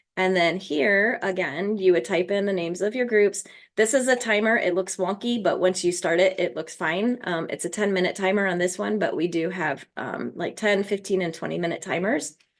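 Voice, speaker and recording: Hardly any pauses break up this woman's speech, delivered at medium pitch with ordinary pitch variation. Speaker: former teacher, education resource creator. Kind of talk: live product walkthrough tutorial. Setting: live video call. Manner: fast; casual, with many fillers.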